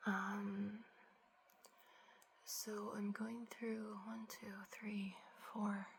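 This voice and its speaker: A soft-spoken, somewhat breathy woman's voice at a medium pitch. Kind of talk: ASMR get ready with me, casual talk to camera.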